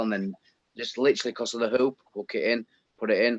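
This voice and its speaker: A man with a Yorkshire accent speaks at a fairly quick pace in a medium pitch, with ordinary pitch variation and a dry, close sound with no echo. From Yorkshire, northern England. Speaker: viewer in live chat. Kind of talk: casual chat.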